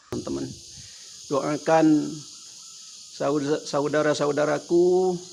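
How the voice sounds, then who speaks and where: Over noticeable background noise, a man speaks at a very slow pace with long, frequent pauses. His pitch is fairly high and his intonation monotone and flat. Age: 70s. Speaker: elderly vlogger. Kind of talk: casual monologue. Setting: at home.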